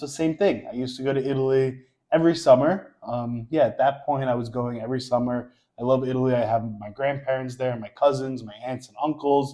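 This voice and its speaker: Speaking fairly quickly with a New York accent, a man uses a medium pitch, a dark, mellow tone and fairly even intonation, his loudness rising and falling by large amounts. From New York, Queens. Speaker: social media creator. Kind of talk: casual chat.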